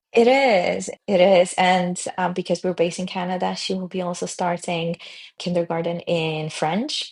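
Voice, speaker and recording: Speaking at a moderate pace, the woman has a fairly low pitch. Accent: Polish. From Poland. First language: Polish. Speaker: tech founder. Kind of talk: podcast interview.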